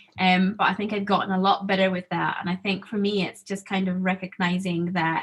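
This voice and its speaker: A woman speaks at a moderate pace with an American accent. Her intonation is flat and monotone. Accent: in-between Zambian, American and Scottish. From Zambia. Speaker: student panelist. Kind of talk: panel discussion. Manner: casual, hesitant with fillers.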